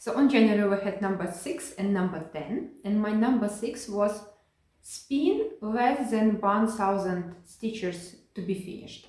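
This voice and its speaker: A woman talks at a medium pitch with ordinary pitch variation and a fairly slow pace. Room echo is audible around her. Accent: non-native. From Ukraine. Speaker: cross-stitch video creator. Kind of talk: casual hobby vlog. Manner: halting, many fillers and restarts.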